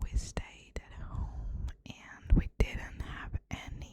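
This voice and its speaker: A woman is heard here. She is whispering. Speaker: ASMR creator. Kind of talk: whispered ASMR conversation. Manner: whispered, soft-spoken.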